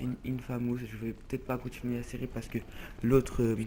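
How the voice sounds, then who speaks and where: Here a man speaks at medium pitch in a dark, mellow tone. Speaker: gaming youtuber. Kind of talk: let's play commentary. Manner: fast; loud.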